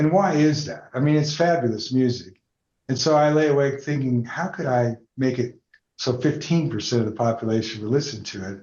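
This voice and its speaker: Somewhat breathy and fairly quick, with an American accent and ordinary pitch variation. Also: man, medium pitch for a man. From Denver, Colorado, raised partly in Atlanta. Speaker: entrepreneur. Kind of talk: interview conversation.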